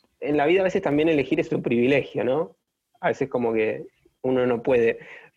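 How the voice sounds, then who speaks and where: A man's voice with ordinary pitch variation. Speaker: podcast host. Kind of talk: interview conversation.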